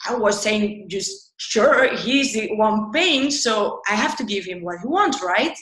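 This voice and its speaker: A woman talks at a fairly high pitch, and audible room echo follows her words. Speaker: UX designer. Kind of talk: interview. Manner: animated.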